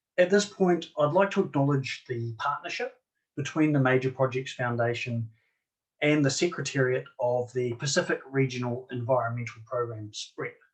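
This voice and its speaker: Somewhat breathy, a man with a New Zealand accent speaks at medium pitch with ordinary pitch variation. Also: moderate pace. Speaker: marine archaeologist. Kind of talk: conference presentation. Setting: online conference.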